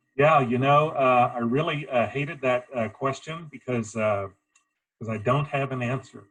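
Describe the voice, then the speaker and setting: Speaking at a fairly slow pace, a man uses a plain, everyday voice with medium pitch and ordinary pitch variation. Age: 50s.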